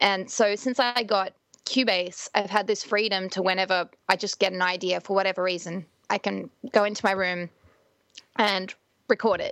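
An ordinary speaking voice moves at a moderate pace with fairly even intonation, in a dry, close sound with no echo against a quiet background. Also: woman, medium pitch for a woman. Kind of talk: casual interview chat.

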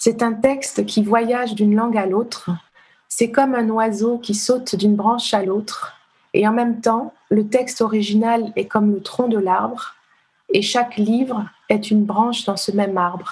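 Somewhat breathy and fairly high, a woman's voice moves at a fairly slow pace with monotone, flat intonation. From Benin (Ouidah, Cotonou). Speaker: literary translator. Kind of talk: casual interview.

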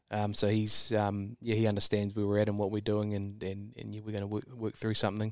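In a New Zealand accent, a man delivers a monotone, flat line at a fairly quick pace with hardly any pauses, his pitch fairly low, on a very clean recording with a silent background. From New Zealand, rural. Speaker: super yacht crew member. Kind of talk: interview. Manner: halting, many fillers.

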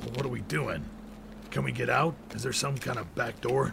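A man speaks at a moderate pace in a put-on character voice. Background noise is clearly audible. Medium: audio drama. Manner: blunt, terse.

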